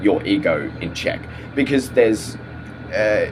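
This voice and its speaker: Noticeable background noise is present throughout. A man talks over it at a medium pitch. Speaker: vlogger. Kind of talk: casual monologue vlog. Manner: halting, many fillers and repeats.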